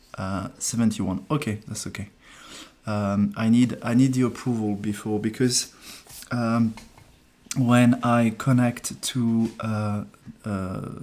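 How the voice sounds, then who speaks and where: Speaking very slowly with long, frequent pauses, a man with a French accent keeps a monotone, flat intonation. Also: medium pitch for a man. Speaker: numerologist. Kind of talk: live stream reading. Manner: hesitant, many fillers.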